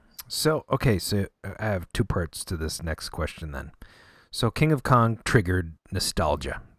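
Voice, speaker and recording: A somewhat breathy voice moves at a fairly slow pace, with very wide pitch swings. The sound is dry and close with no echo, on a very clean recording over a silent background. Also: man, fairly low pitch for a man. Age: 40s. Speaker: podcast host. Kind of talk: podcast interview.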